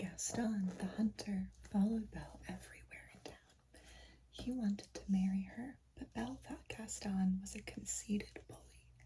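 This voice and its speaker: Someone whispers at a moderate pace, soft-spoken and calm in tone. Noticeable background noise can be heard. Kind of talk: storybook reading aloud. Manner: soft, whispery, calm.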